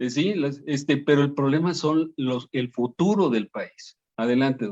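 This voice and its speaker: At a fairly slow pace, a man speaks with a fairly high pitch and ordinary pitch variation in a dry, close sound with no echo. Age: 60s. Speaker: talk show host. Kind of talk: panel discussion. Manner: halting.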